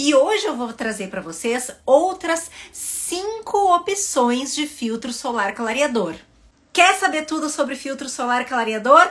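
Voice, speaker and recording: Over noticeable background noise, a woman with a southern Brazilian accent speaks at a fairly slow pace in a high pitch with very wide pitch swings. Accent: southern Brazilian (gaúcho). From southern Brazil (Rio Grande do Sul). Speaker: dermatologist. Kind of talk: educational video talk to camera.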